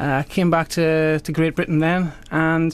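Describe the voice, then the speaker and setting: This is a man with a Welsh accent. His pitch is fairly high. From South Wales. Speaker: magician. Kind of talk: radio interview.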